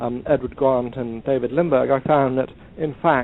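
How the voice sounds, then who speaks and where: A man speaks at a moderate pace with an English accent, his pitch medium. His intonation stays flat and monotone throughout. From England. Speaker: historian of science and author. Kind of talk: podcast interview. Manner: halting, many ums and uhs.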